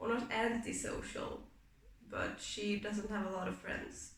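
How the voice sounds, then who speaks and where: A woman with a non-native accent speaks at a very slow pace. Audible room echo and noticeable background noise are present. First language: not English. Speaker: booktuber, reading vlogger. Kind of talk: casual vlog book talk. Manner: casual with frequent fillers.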